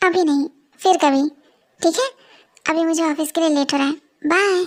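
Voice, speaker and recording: In a squeaky, put-on character voice, a woman speaks at an extremely high pitch with ordinary pitch variation. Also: fairly quick pace. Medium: audio drama. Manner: warm, polite.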